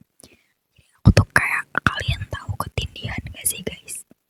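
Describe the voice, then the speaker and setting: Whispering at a fairly slow pace, a woman is heard in a dry, close recording with no echo. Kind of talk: personal horror story. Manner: whispered.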